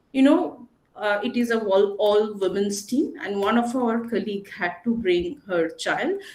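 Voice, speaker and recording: Pitched fairly high, a woman with an unremarkable speaking voice speaks at a fairly slow pace with ordinary pitch variation. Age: 40s. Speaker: panelist. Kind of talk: panel discussion.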